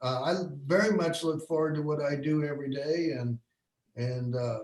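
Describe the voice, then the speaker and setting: An unremarkable speaking voice from a man with an American accent, fairly high in pitch, ordinary pitch variation and a moderate pace. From Bloomington, Indiana. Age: 60s. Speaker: photographer. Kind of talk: online career panel talk.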